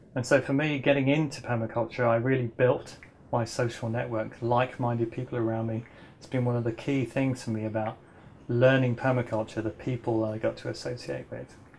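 A somewhat breathy man at a fairly quick pace, fairly even in intonation, over light background noise. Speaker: permaculture teacher. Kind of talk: lecture. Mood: warm, smiling. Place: home room.

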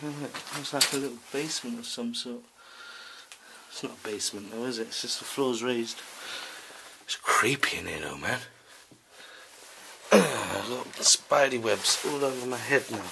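Noticeable background noise runs behind a man's voice. He speaks at a moderate pace with long, frequent pauses. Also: fairly even intonation. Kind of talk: casual vlog commentary. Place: home room. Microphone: phone near.

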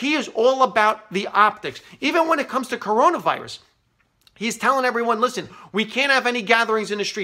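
Over a quiet background, a man with a New York accent speaks in a raised, projected voice, high-pitched, bright and sharp in tone, at a fairly quick pace. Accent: New York area American. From New York City area, US. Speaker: comedian and political commentator. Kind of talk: angry political rant to camera. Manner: biting, bitterly sarcastic escalation; emphatic, repeating points for punch. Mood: frustrated, sarcastic. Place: office. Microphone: phone near.

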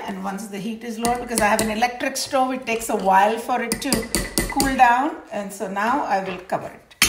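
Over noticeable background noise, a woman talks at a moderate pace, her fairly high pitch showing ordinary variation. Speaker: home cook demonstrating recipe. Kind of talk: cooking tutorial. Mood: warm, relaxed. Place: kitchen.

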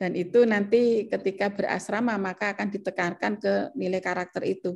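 Over a quiet background, the speaker keeps a moderate pace with ordinary pitch variation. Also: woman. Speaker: professor. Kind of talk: academic presentation. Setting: video call. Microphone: webcam.

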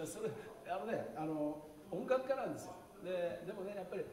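Light background noise and audible room echo around a man's speaking voice. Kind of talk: stage talk to audience. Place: hall.

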